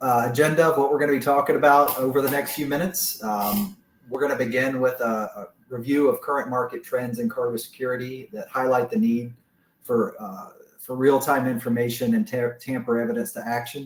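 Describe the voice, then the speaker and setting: Speaking at a fairly quick pace, a man with a medium pitch talks in an American accent. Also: ordinary pitch variation. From US South. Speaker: business manager presenting products. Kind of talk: webinar presentation. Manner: frequent filler words.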